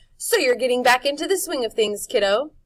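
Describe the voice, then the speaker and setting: A woman's raised, projected put-on character voice, high-pitched, with lively intonation and a fairly quick pace. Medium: read story. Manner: jaunty, coaxing.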